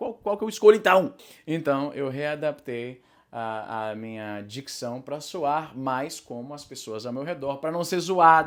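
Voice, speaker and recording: A man with a normal speaking voice and lively intonation is heard on a very clean recording with a silent background. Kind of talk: casual talk to camera. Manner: fast, rambling.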